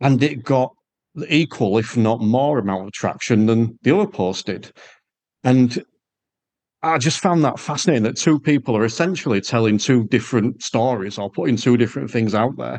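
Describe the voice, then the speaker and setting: A man speaks with an English accent at a moderate pace. His pitch varies in an ordinary way. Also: medium pitch for a man. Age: 40s. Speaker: podcast host and driving instructor. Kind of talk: casual interview chat; podcast outro. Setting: video call.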